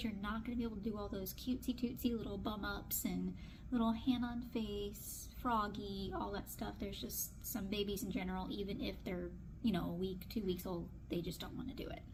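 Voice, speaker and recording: Hardly pausing, a woman talks at a fairly quick pace amid audible room echo and noticeable background noise. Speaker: newborn photographer. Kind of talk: casual vlog tutorial. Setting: photo studio. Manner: fast.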